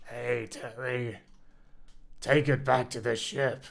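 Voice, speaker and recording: Male speech in a put-on character voice, medium-pitched and fairly slow. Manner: comical, distorted.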